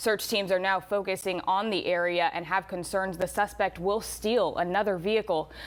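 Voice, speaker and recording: This is an unremarkable speaking voice, at a moderate pace with ordinary pitch variation. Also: woman. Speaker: news reporter and anchor. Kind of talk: news anchor read.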